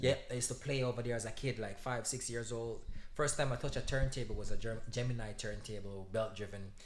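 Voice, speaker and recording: With a Jamaican accent, a man talks at a very fast pace in a medium pitch with fairly even intonation, and audible room echo surrounds his voice. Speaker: DJ. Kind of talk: casual chat.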